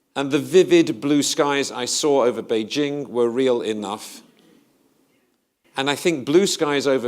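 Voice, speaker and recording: A man with a British accent talks at a fairly slow pace in a medium pitch, with lively intonation. The recording is very clean, with a silent background. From Britain. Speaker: investment strategist. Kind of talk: conference presentation.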